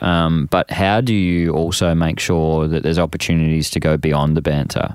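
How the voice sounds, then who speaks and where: A man's very deep, low voice with an Australian accent, at a moderate pace. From Australia, Frankston (Melbourne). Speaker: men's workshop facilitator. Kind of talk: casual interview.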